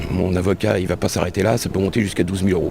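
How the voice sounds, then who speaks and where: Very deep and low, a man's voice races at a very fast pace. Noticeable background noise sits behind him. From France, Le Mans. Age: 60s. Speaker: released prisoner. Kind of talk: testimony.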